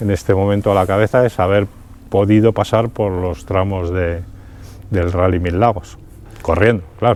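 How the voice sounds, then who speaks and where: A man's fairly low-pitched voice at a moderate pace, with fairly even intonation and long, frequent pauses. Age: 60s. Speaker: amateur rally driver. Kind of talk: interview. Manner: halting, many fillers and repetitions.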